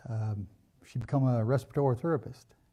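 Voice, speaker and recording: In an American accent, a man speaks with a dark, mellow tone, a somewhat breathy voice, and ordinary pitch variation. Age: 60s. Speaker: church member sharing life story. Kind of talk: personal testimony. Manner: halting, many fillers.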